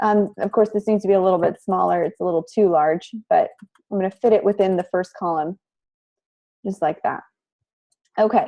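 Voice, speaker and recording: A woman's medium-pitched, dark and mellow voice with ordinary pitch variation and long, frequent pauses. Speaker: college instructor. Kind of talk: tutorial.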